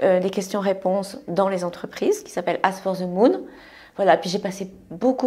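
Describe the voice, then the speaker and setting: Her tone dark and mellow, a woman speaks at a medium pitch and a moderate pace. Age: 60s. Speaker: entrepreneur. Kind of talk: casual chat.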